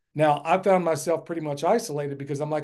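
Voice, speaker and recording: A man with a plain, everyday voice, a fairly high pitch and ordinary pitch variation. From United States. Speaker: permaculture farmer and educator. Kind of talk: casual interview.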